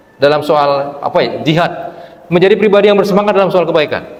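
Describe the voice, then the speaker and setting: Very fast, animated speech comes from a man. Audible room echo and noticeable background noise are present. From Palembang, South Sumatra, Indonesia. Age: 60s. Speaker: Islamic preacher. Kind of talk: sermon. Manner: conversational, animated.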